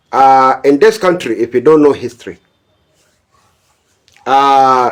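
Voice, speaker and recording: A man talks at a very slow pace in a fairly high pitch. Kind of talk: political commentary, warning to a pastor. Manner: forceful, admonishing.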